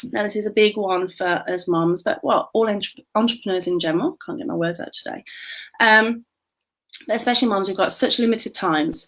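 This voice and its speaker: Very wide pitch swings mark this voice with a British accent, heard in a very clean recording with a silent background. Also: woman. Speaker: business coach. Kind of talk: livestream talk. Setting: Facebook live video. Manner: whispering slightly.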